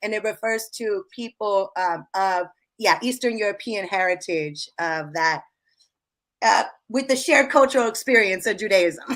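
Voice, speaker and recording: In a very clean recording with a silent background, a woman with an American accent uses a normal speaking voice, fairly high in pitch, with lively intonation at a moderate pace. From Seattle area, Redmond. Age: 30s. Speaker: hip-hop artist and activist. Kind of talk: interview testimony.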